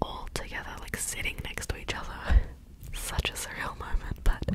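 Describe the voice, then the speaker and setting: Against loud background noise, a woman speaks at a moderate pace. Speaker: ASMR creator. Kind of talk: soft-spoken casual vlog chat. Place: home room. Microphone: studio mic.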